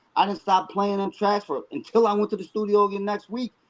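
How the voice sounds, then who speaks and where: This man talks at a fairly quick pace with a high pitch and an animated tone. He speaks with an American accent. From Buffalo, New York. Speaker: rapper. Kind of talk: interview. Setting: live stream.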